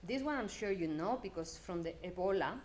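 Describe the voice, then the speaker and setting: At a moderate pace, a woman with a medium pitch talks with lively intonation. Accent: strong Spanish. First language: Spanish. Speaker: development data program manager. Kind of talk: conference talk.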